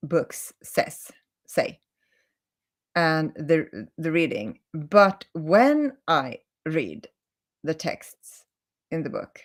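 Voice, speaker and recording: A woman with a Swedish accent and a fairly low pitch, very slow, with lively intonation and long, frequent pauses. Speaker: holistic healing coach. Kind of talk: live stream talk. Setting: live video stream. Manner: halting, many self-corrections.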